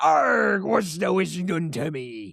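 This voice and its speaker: A man puts on a character voice, raspy and pitched in his mid range. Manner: gruff, growly.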